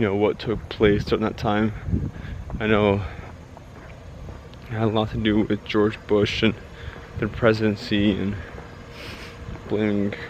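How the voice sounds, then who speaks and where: Over noticeable background noise, a man with an American accent and fairly low pitch speaks at a moderate pace with long, frequent pauses. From United States. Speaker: vlogger. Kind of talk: casual monologue while walking. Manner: halting, self-correcting.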